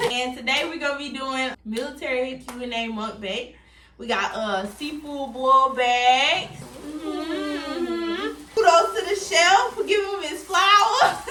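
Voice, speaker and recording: A woman's high, raised and projected voice with an American accent, big swings in loudness, very wide pitch swings and a fairly slow pace, over noticeable background noise. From California / St. Louis, Missouri. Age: 20s. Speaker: military service member. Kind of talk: casual group talk to camera.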